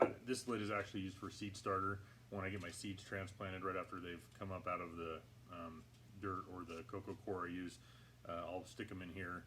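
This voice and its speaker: A man talks in a very deep, low pitch. His pace is fairly quick and his intonation fairly even. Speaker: hydroponics gardening channel host. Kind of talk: tutorial. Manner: halting, many fillers; talking louder than usual. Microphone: poor audio, may sound quiet.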